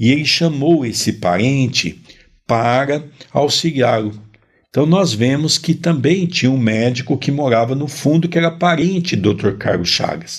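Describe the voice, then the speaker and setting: Speaking with a plain, everyday voice, a man keeps a fairly slow pace, very even loudness and lively intonation at a fairly high pitch. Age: 50s. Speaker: spiritist study presenter. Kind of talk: religious study discussion.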